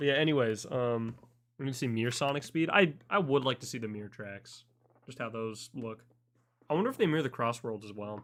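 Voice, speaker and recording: A man talks in a normal speaking voice at a medium pitch with ordinary pitch variation. His loudness swings widely in a very clean recording with a silent background. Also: fairly quick pace. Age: 18. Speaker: streamer. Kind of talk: live stream reaction.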